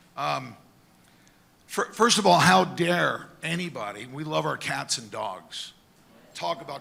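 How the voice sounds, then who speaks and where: A man talks at a moderate pace with a fairly high pitch and lively intonation. Audible room echo surrounds his voice. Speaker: town hall attendee asking a question. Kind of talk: public question at town hall. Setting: town hall with audience.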